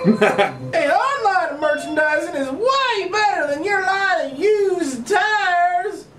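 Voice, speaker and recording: A cartoonish character voice speaks at extremely high pitch and a fairly slow pace. Clear background noise runs underneath. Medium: puppet show.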